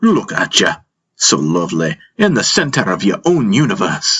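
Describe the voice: Delivered at a moderate pace, a put-on character voice has a fairly bright tone, a slightly husky edge, and very wide pitch swings. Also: man, low pitch for a man.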